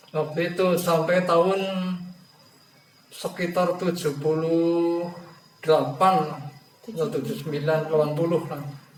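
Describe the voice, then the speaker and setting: Amid music in the background and audible room echo, a man with a high pitch speaks at a moderate pace, leaving long, frequent pauses. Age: 60s. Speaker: elderly farmer, interviewee. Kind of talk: counseling interview. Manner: halting.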